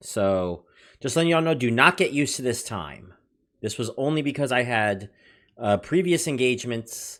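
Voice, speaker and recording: Loud and at a moderate pace, a man speaks at a medium pitch with very wide pitch swings. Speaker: livestream host reviewing money-making apps. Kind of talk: casual livestream chat reading viewer comments.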